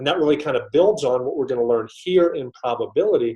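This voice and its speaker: A man with an American accent and lively intonation. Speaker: GRE prep teacher. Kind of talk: live webinar lecture. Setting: online webinar with chat. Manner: fast.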